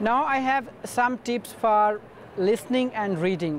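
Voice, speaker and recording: A man with a Pakistani accent and a high pitch, with ordinary pitch variation. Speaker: university student and former TOEFL teacher. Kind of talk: advice talk to camera. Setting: conference booth.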